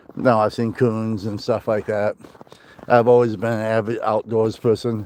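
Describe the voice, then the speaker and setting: Over noticeable background noise, a man talks in a flat monotone at medium pitch. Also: moderate pace. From northwest Iowa. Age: 50s. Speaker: outdoors vlogger. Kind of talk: casual live-stream chat while hiking. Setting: outdoors on a hike.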